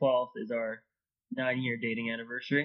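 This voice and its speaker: A man with a Californian accent, medium in pitch, with fairly even intonation. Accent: Californian American English. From Los Angeles, Southern California. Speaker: process engineer. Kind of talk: casual interview chat.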